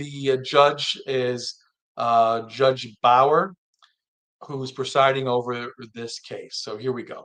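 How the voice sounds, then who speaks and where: A man with a fairly high voice at a very slow pace. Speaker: live stream commentator. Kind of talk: live stream commentary.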